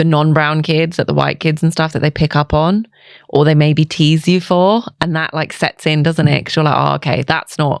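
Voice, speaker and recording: A woman with a London accent speaks at a moderate pace in a very deep, low pitch with fairly even intonation, recorded dry and close with no echo on a very clean, silent background. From England, East London. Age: 30s. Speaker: nurse and skincare clinic founder. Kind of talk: casual chat.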